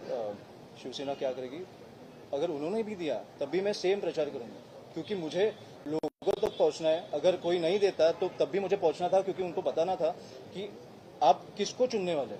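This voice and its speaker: This man's voice is high-pitched. Its pitch varies in an ordinary way. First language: Marathi (speaking Hindi). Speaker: politician, election candidate. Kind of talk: press conference Q&A. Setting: press conference with reporters. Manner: halting, with filler sounds.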